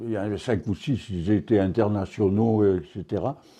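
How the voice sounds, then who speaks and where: Over a quiet background, a man speaks in a dark, mellow tone at a fairly low pitch. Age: 90s. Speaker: retired field hockey goalkeeper. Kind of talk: interview. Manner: halting.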